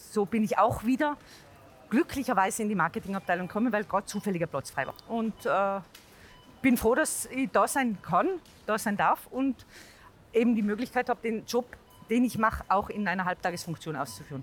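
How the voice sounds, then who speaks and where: With a Tyrolean accent, the speaker talks at a fairly quick pace with lively intonation, yet leaves long, frequent pauses. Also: woman, fairly high pitch for a woman. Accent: Tyrolean dialect, kept. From Tyrol, Austria. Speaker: marketing employee, mother. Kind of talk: casual interview.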